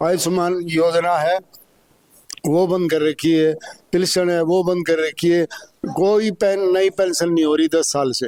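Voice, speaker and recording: Heard in a dry, close sound with no echo, a man with a high pitch speaks with fairly even intonation and very even loudness. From Delhi village, Najafgarh area. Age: 60s. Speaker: villager. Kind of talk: street interview.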